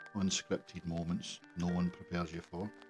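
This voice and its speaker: Backed by music, a man with a very deep, low pitch speaks at a fairly slow pace. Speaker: father. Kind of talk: personal reflective monologue. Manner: soft-spoken, reflective.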